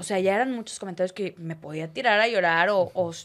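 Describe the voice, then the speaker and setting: At a fairly quick pace, a woman uses a normal speaking voice of medium pitch with fairly even intonation on a very clean recording with a silent background. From Torreón, Comarca Lagunera, northern Mexico. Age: 20s. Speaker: sports commentator. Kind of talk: casual interview chat.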